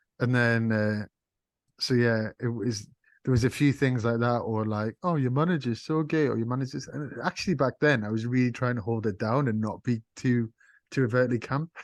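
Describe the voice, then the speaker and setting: A man speaks in a Geordie accent at medium pitch and a moderate pace, with ordinary pitch variation. The sound is dry and close with no echo, against a quiet background. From northern England, Sunderland. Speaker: music label owner and artist manager. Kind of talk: interview. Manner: animated.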